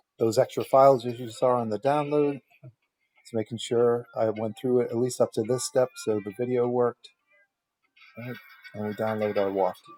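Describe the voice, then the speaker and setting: With music in the background, the speaker moves at a moderate pace, leaving long, frequent pauses. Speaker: web design tutorial maker. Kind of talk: tutorial. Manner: casual.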